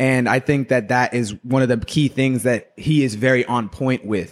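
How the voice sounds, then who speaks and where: In a normal speaking voice, a man talks at a medium pitch with fairly even intonation, the recording very clean with a silent background and a dry, close sound with no echo. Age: 30s. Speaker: barber. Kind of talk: casual chat.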